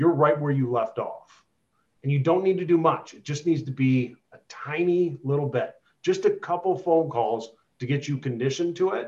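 With a normal speaking voice, a man talks at a moderate pace and a fairly high pitch, showing ordinary pitch variation and big swings in loudness. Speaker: real estate agent. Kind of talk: interview on a group call.

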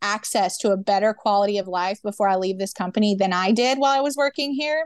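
This woman has a normal speaking voice and an American accent, pitched fairly high with ordinary variation. She talks at a moderate pace, and the sound is dry and close with no echo against a quiet background. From US South, Memphis, Tennessee. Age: 20s. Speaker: union organizer and barista. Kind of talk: interview.

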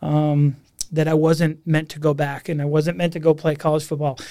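A man speaks with an American accent on a very clean recording with a silent background. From Massachusetts, near Boston. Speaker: university admissions dean. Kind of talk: casual interview. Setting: podcast studio.

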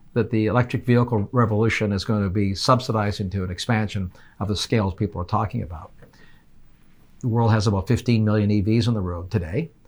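Using an ordinary speaking voice, a man talks at a fairly quick pace with a fairly low pitch and ordinary pitch variation. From Canada. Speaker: energy policy expert. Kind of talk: interview. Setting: in-person studio.

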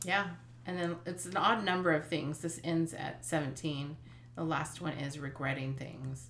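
A woman speaks with a very deep, low pitch and ordinary pitch variation, at a fairly slow pace. Noticeable background noise and audible room echo surround her voice. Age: 50s. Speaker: podcast co-host, mother. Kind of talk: casual chat.

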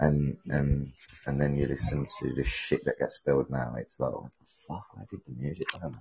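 A man with a British accent. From UK. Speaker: caller. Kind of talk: casual chat.

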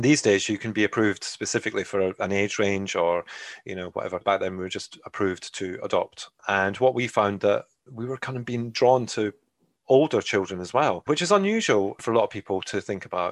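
The speaker talks at a fairly quick pace in a Scottish accent with ordinary pitch variation. The sound is dry and close with no echo, and the background is quiet. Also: man, fairly low pitch for a man. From Scotland. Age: 40s. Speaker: adoptive parent. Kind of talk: interview.

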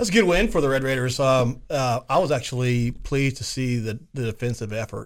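At a fairly quick pace with hardly any pauses, the voice shows ordinary pitch variation on a very clean recording with a silent background. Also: man, medium pitch for a man. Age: 50s. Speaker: radio sports talk co-host. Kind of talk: casual sports talk chat. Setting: radio studio. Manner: speeds up and gets louder when excited.

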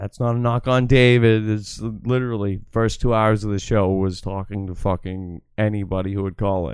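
A man with an American accent and an unremarkable speaking voice talks at a moderate pace in a fairly low pitch, with hardly any pauses. His intonation is fairly even while his loudness swings widely. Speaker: livestream host. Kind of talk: casual banter on a livestream.

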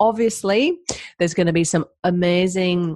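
In an ordinary speaking voice, a woman speaks at a moderate pace with a fairly low pitch, the sound dry and close with no echo. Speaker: podcast host and health coach. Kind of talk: casual interview chat.

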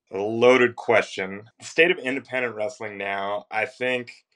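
A man speaks with an American accent in a plain, everyday voice. His pitch is medium with ordinary variation, and his pace is moderate. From Northern Virginia. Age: 30s. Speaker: professional wrestler. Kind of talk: interview.

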